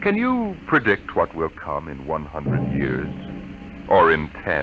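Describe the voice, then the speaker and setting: A man speaks at a fairly slow pace while music plays in the background. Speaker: radio announcer. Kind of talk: radio drama announcer opening.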